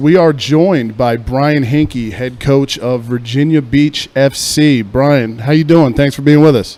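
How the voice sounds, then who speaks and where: There is noticeable background noise behind this recording. A man with an American accent talks at a fairly slow pace. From Philadelphia. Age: 20s. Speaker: sports radio host. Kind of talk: casual talk radio interview. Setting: studio. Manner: loud; energetic, casual.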